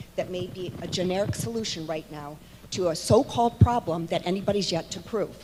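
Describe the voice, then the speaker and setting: Against noticeable background noise, a woman's medium-pitched voice carries lively intonation. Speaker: homeowner speaking at meeting. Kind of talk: public comment at town hall meeting. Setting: town hall meeting in church hall. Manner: loud.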